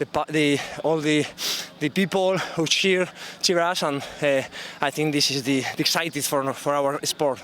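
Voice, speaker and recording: A man with a Spanish accent at a moderate pace, intonation fairly even, noticeable background noise behind him. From Spain. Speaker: athlete. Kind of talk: post-race interview. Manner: halting.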